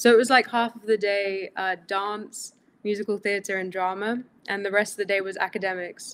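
Flat, monotone delivery at a moderate pace with big swings in loudness. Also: woman, medium pitch for a woman. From Greece. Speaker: actress. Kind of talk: interview. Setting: video call. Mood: warm, smiling, reflective. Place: home room.

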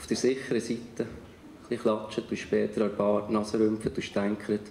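The voice has vocal fry, a dark, mellow tone and monotone, flat intonation, with audible room echo and light background noise. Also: man, fairly low pitch for a man, moderate pace. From Bern, Switzerland. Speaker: writer and spoken-word artist. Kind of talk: poetry slam performance. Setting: live stage in front of an audience. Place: stage. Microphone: handheld.

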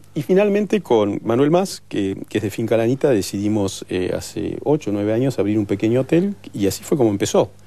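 Lively intonation runs through this man's dark, mellow voice. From Argentina, Bariloche; Argentina. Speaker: chef; guest. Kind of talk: TV talk show interview. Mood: relaxed, storytelling. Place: studio.

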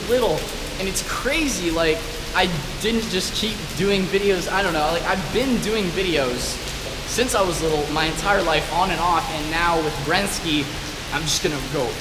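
With music playing in the background, a man talks with ordinary pitch variation. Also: moderate pace. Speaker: vlogger. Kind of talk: casual vlog chat. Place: garage. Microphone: phone near.

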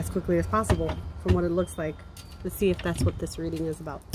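A woman talks fairly quickly while noticeable background noise carries on behind her. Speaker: tarot reader. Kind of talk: tarot reading monologue. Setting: outdoors. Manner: halting, stumbling over words.

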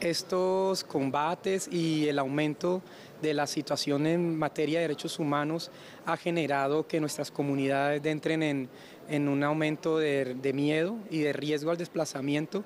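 A man speaks at a fairly slow pace, his loudness very even and his intonation fairly even. The sound is dry with no echo, over light background noise. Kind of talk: interview answer. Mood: concerned, serious. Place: street. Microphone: handheld.

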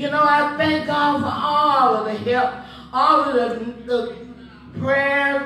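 A woman with a high pitch speaks very slowly, her intonation fairly even. Audible room echo and light background noise are present. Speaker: church member. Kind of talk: testimony. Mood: grateful, emotional. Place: church.

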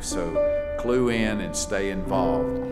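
Clear music plays in the background while a man speaks. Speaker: chapel host introducing the preacher. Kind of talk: announcements and introduction. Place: church. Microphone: podium.

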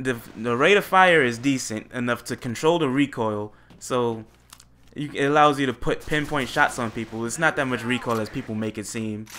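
A man speaks at a moderate pace in a medium pitch, with ordinary pitch variation and an animated tone. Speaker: gaming YouTuber. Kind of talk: gameplay commentary. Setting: home recording with USB microphone.

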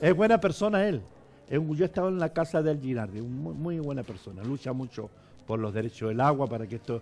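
At a very fast pace, a man talks with very wide pitch swings. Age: 70s. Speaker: bishop. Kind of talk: interview. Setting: church. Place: studio. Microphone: headset.

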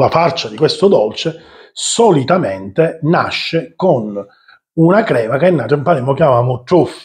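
A man speaks very slowly in a somewhat breathy voice against a quiet background. His pitch swings very widely. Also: fairly high pitch for a man. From Sicily. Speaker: cooking channel host. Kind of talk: cooking tutorial. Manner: animated. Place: kitchen.

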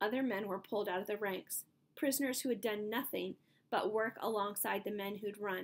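The reading voice heard here is unforced.

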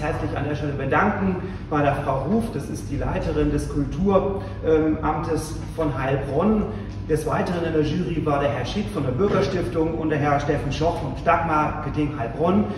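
There is noticeable background noise and audible room echo as a man speaks at a moderate pace with ordinary pitch variation. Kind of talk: formal speech. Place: hall. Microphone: camera far.

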